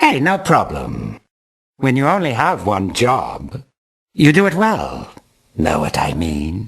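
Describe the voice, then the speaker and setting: A put-on character voice, low-to-middle in pitch, at a fairly slow pace with long, frequent pauses. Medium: video game. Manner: easygoing, chummy.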